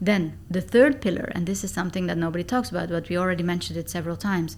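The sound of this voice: A woman with a fairly low pitch and a slightly mellow tone speaks at a fast pace.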